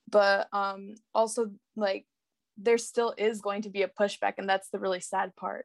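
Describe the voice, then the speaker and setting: The speaker has an American accent and a monotone, flat intonation. The pace is fairly slow, with a dry, close sound and no echo. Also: woman, medium pitch for a woman. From Salinas, California. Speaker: university student. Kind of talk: panel discussion. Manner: many fillers.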